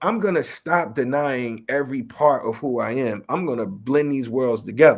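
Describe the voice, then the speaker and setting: A man with a slight New York accent at a moderate pace, on a very clean recording with a silent background. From Chicago West Side. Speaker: rapper and educator. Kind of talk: interview. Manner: casual.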